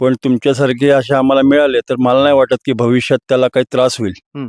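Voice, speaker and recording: The delivery is monotone and flat, with very even loudness. The sound is dry and close, without any echo. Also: man. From Maharashtra, Raigad (Pali). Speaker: bull owner, rehab centre owner. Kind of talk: interview.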